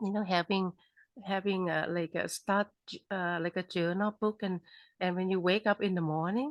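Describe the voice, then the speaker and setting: A woman with a Thai accent speaks at a medium pitch with fairly even intonation. The recording is very clean with a silent background, dry and close with no echo. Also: moderate pace. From Thailand. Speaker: author. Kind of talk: interview. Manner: halting.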